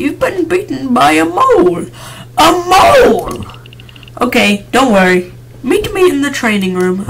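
A put-on character voice at a fairly slow pace, with long, frequent pauses and clear background noise. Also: man, extremely high pitch for a man. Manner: acted, theatrical.

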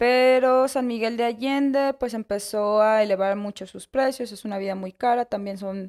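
A woman at a moderate pace, fairly high-pitched and fairly even in intonation, against a quiet background. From Mexico City. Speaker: bakery co-owner. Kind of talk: casual interview. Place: cafe. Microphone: studio mic.

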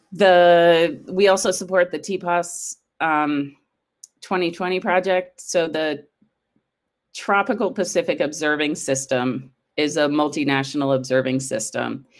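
A woman with a normal speaking voice talks fairly slowly at a fairly low pitch with ordinary pitch variation. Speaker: science agency program manager. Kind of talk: conference presentation. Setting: video call.

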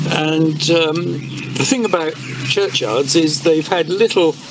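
With an English accent, a man speaks at a fairly slow pace against noticeable background noise. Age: old. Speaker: churchyard volunteer. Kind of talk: interview. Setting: outdoors. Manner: halting. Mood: calm, contented. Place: garden.

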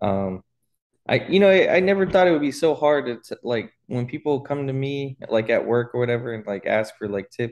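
At a moderate pace, a man talks with lively intonation against a quiet background. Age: 20s. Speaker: finance podcast co-host; podcast co-host. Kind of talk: casual chat. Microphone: video call.

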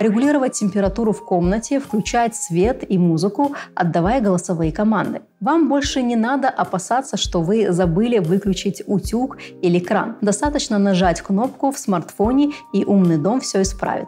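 A woman at a moderate pace, with faint music in the background. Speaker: show host. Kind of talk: educational presenter monologue. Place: studio.

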